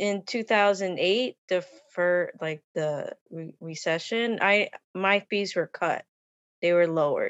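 A woman at medium pitch with an American accent, very slow pace and ordinary pitch variation. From US, Long Island. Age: 50s. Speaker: costume designer. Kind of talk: casual interview. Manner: hesitant, many fillers.

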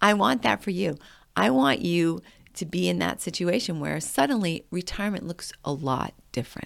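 Speaking at a moderate pace, a woman with a fairly low pitch and some vocal fry uses lively intonation and an animated tone. The recording is very clean, with a silent background. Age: 50s. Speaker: podcast host. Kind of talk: casual monologue.

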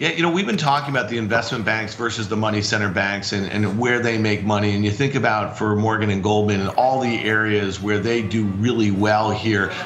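Noticeable background noise sits behind a man who talks with hardly any pauses, very even loudness and fairly even intonation. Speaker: trader. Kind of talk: market analysis interview.

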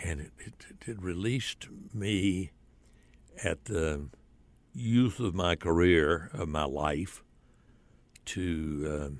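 Lively intonation marks this man's very deep, low voice. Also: very clean recording, silent background. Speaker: retired radio and TV broadcaster. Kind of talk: casual interview. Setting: studio. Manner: halting, repeats words.

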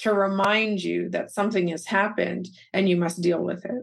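Medium in pitch and somewhat breathy, a woman speaks at a moderate pace with ordinary pitch variation. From Canada, Calgary, Alberta. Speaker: teacher and author. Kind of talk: interview.

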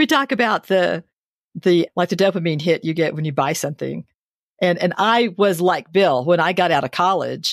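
A woman speaks at a fairly quick pace in a normal speaking voice, with ordinary pitch variation, a dry, close sound with no echo, and a very clean recording with a silent background. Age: 60s. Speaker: podcast co-host. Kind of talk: interview conversation.

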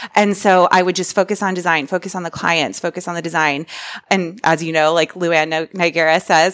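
A normal speaking voice with an American accent, fairly quick and fairly even in intonation, in a dry, close sound with no echo. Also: woman. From Central Florida. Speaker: interior designer. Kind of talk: casual interview.

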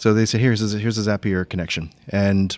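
A man with a fairly low voice at a moderate pace, a plain, everyday voice, on a very clean recording with a silent background. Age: middle-aged. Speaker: accounting firm co-founder. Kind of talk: casual interview chat. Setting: live at a conference, in person.

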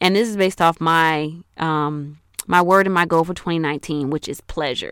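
A woman with an unremarkable speaking voice has a fairly low pitch and ordinary pitch variation. The recording is very clean, with a silent background. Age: 30s. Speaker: podcast host and life coach. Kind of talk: solo podcast monologue. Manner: casual, conversational.

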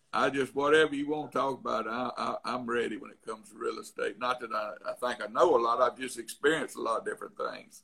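Very fast speech with big swings in loudness and an Alabama accent. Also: man. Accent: Alabama Southern. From Tuscaloosa, Alabama, US South. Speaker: real estate investor. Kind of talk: casual interview chat. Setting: remote call.

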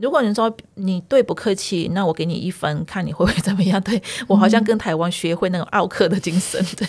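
Somewhat breathy, a woman talks at a fairly quick pace and a medium pitch. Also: ordinary pitch variation. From northern Myanmar (ethnic Chinese, Yunnan ancestry). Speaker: community association staff and Burmese language teacher. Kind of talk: interview, personal storytelling.

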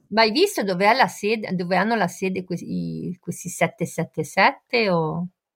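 With vocal fry and ordinary pitch variation, a woman at a medium pitch speaks at a fairly slow pace. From Genoa, Italy. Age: 50s. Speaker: focaccia baker, football fan. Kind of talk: casual chat.

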